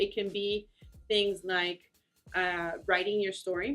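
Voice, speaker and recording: Music plays in the background as a woman talks at a fairly slow pace. She has a Spanish accent. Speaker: immigrant advocacy organizer. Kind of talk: interview. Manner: halting, many fillers.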